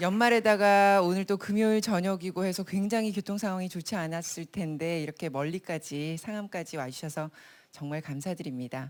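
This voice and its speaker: A woman's normal speaking voice, medium in pitch, with ordinary pitch variation at a moderate pace on a very clean recording with a silent background. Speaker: broadcast announcer, event host. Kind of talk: live event hosting, welcoming the audience. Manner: clear, polished, conversational.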